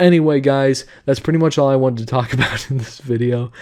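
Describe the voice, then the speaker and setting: A man's dark, mellow tone with fairly even intonation over a quiet background. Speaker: YouTube commentator. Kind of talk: casual commentary. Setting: home recording at midnight. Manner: quiet, subdued; casual, filler-heavy.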